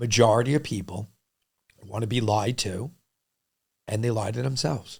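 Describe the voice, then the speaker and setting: With a New York accent, a man speaks at a moderate pace and medium pitch, using ordinary pitch variation and long, frequent pauses. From New York City, Lower East Side and Queens. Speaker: restaurant entrepreneur. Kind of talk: podcast interview. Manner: loud when passionate; animated.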